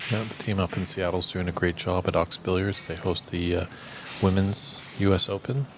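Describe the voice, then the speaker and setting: Against noticeable background noise, a man with a Canadian accent talks in a very deep, low voice with fairly even intonation. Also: moderate pace. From Canada, Ontario. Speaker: snooker commentator. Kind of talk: casual chat. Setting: commentary booth.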